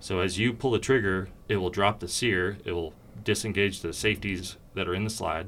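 A man with an American accent and an unremarkable speaking voice, fairly low in pitch, fairly even in intonation, at a moderate pace. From Oregon. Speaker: firearms company executive. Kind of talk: casual interview.

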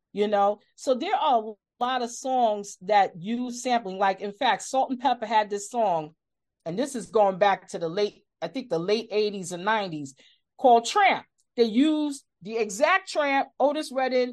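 A woman with an American accent talks at a moderate pace, her pitch fairly high and her intonation lively. It is an unremarkable speaking voice. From New York City, the Bronx. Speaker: music podcast host. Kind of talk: interview.

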